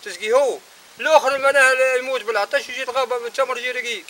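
A man's raised, projected voice at a moderate pace. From Tunisia. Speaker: farmer. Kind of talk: interview. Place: farm.

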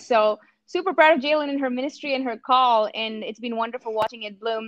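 A woman's high voice with an Indian accent, dry with no echo, against a quiet background. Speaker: campus minister. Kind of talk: casual chat. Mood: warm, smiling. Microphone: video call.

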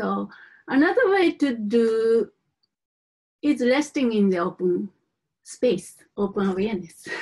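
With a non-native accent, a somewhat breathy woman speaks at a fairly slow pace, her pitch swinging very widely between long, frequent pauses against a quiet background. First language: not English. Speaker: Buddhist teacher. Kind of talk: teaching. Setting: live teaching to a group. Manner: halting, hesitant with fillers. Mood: calm, gentle. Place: home room. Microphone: webcam.

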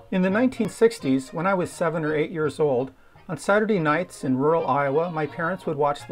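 The speech moves at a moderate pace. Music plays in the background. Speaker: narrator recalling childhood. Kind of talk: documentary narration.

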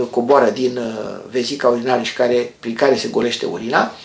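A man is speaking. Room echo is audible. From Romania. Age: 50s. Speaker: health educator, former doctor; health educator. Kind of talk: health tutorial. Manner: calm explanatory. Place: home room. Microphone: phone near.

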